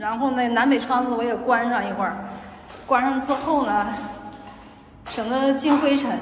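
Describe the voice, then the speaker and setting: A woman's high-pitched, animated voice over background music. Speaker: vlogger. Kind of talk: casual vlog monologue. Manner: animated, venting, colloquial.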